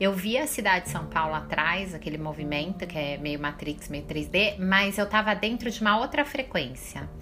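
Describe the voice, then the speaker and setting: Over music in the background, a woman at medium pitch talks at a moderate pace with lively intonation and hardly any pauses. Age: 40s. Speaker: holistic therapist. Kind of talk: spiritual podcast monologue. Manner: casual, informal.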